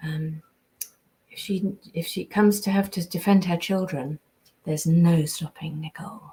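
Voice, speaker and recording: A woman with a southern English accent talks at a moderate pace in a somewhat breathy, dark, mellow voice of fairly low pitch, with fairly even intonation and big swings in loudness. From England, raised partly in America until about 10. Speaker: voice actress. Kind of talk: live stream chat reading fan comments. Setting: live stream from home. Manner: hesitant, many ums and repetitions.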